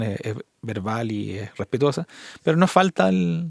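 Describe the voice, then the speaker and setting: A man talks with a Chilean accent. His intonation is lively. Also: dry, close sound with no echo. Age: 50s. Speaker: podcast host. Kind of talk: casual interview chat.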